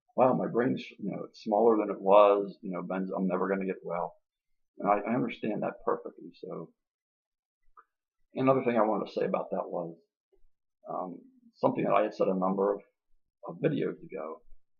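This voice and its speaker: Fairly quick speech broken by long, frequent pauses, with big swings in loudness. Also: man. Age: 60s. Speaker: video blogger on benzodiazepine withdrawal. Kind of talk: casual monologue. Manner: halting.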